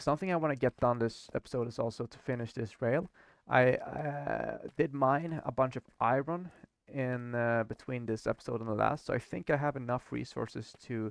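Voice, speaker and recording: A man speaks with a Swedish accent at a medium pitch and a moderate pace. His pitch varies in an ordinary way, and the sound is dry and close with no echo. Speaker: gaming YouTuber. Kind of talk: gameplay commentary. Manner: halting.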